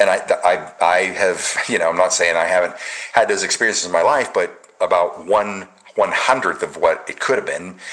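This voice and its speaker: A man talks at a moderate pace while noticeable background noise sits beneath him. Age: 60s. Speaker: patriot commentary show host. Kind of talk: casual chat.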